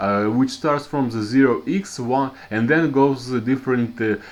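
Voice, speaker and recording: A man with a strong Russian accent. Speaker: programming teacher. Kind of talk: tutorial. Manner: halting, many fillers and restarts.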